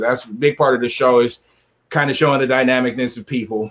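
A man with a medium pitch talks at a moderate pace in an ordinary speaking voice. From San Diego, California. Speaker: podcast host. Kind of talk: casual chat.

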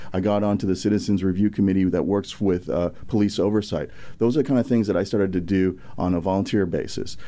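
A man with an American accent, fairly low in pitch, with a dark, mellow tone, ordinary pitch variation, very even loudness and a very fast pace. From US Midwest, St. Louis. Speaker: congressional candidate. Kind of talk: interview.

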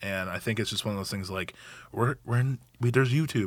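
This man has a normal speaking voice at medium pitch with ordinary pitch variation, recorded very cleanly against a silent background. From Oregon, Gresham area (born in Hawaii). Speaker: nonprofit cooking school founder. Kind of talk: casual interview. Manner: many fillers and false starts.

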